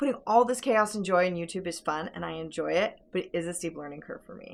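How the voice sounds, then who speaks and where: A woman with a medium pitch and vocal fry speaks at a very fast pace, her intonation lively. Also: big swings in loudness. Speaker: farm vlogger. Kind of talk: vlog monologue.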